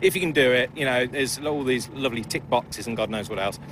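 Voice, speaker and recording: The intonation is lively, heard against noticeable background noise. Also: man. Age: 50s. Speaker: amateur racing driver. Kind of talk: paddock interview. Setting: race paddock. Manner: halting, many fillers.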